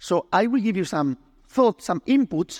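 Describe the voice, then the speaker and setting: Speaking at a fairly slow pace with a Spanish accent, a man swings very widely in pitch, his sound dry and close with no echo, on a very clean recording with a silent background. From Spain. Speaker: oncologist. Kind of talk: medical education presentation. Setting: stage with audience.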